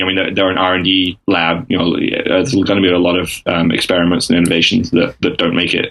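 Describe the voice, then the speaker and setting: A man with an English accent speaks at a moderate pace. His pitch is very deep and low. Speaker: freelance strategy consultant. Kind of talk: interview answer. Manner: hesitant, many fillers.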